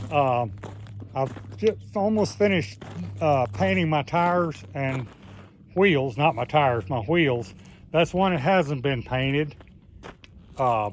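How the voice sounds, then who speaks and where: A man with a Southern US accent talks at a very slow pace and a medium pitch. His voice moves in very wide pitch swings. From US South. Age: 70s. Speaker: YouTuber. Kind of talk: casual vlog. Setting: outdoors. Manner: halting.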